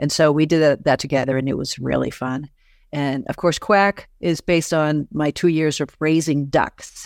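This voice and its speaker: On a very clean recording with a silent background and a dry, close sound with no echo, a woman with an American accent and a very deep, low pitch speaks in an animated tone at a moderate pace. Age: 60s. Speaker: author and podcaster. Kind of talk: interview conversation. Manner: animated, laughs often, direct.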